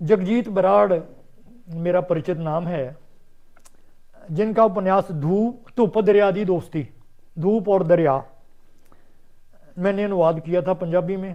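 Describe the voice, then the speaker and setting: Long, frequent pauses and ordinary pitch variation in a Punjabi accent. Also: man. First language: Punjabi (speaking Hindi). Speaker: writer and translator. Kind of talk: interview.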